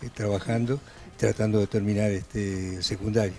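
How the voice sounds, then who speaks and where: Over music in the background, a man speaks at a medium pitch and a moderate pace with fairly even intonation. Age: 80s+. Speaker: adult night-school student. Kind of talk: TV interview.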